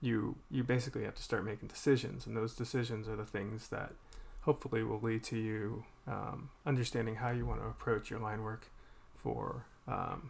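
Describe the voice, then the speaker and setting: A man mumbles with an American accent. His voice sits at medium pitch and has vocal fry. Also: fairly even intonation, moderate pace. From Boston, US. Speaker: artist streaming while drawing. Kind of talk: casual live-stream chat. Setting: live stream. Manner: mumbling; halting, many fillers.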